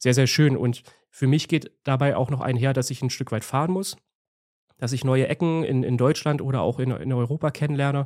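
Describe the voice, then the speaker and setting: On a very clean recording with a silent background, a man talks at a moderate pace in a normal speaking voice, with medium pitch and fairly even intonation. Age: 30s. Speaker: landscape photographer and YouTuber. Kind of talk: casual interview chat.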